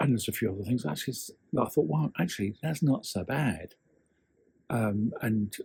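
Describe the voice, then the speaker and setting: This man's dark, mellow tone is somewhat breathy and carries lively intonation. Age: 60s. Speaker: copywriter and storytelling coach. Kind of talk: casual talk to camera.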